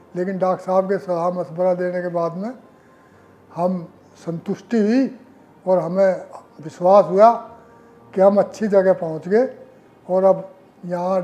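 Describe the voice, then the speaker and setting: The speech is broken by long, frequent pauses. Its intonation stays fairly even. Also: man. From India, western Uttar Pradesh (Muzaffarnagar). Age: 70s. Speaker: heart surgery patient, retired government employee. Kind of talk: testimonial interview.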